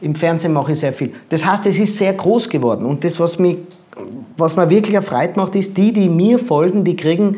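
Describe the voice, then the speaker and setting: This man's voice sits high and has a dark, mellow tone. He speaks fairly quickly with ordinary pitch variation. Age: 40s. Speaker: body language expert and speaker. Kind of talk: interview.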